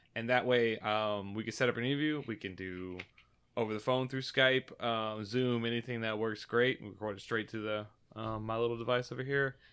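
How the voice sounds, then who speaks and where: A man at a medium pitch and fairly quick pace, with fairly even intonation. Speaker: podcast host. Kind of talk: casual chat. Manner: loud.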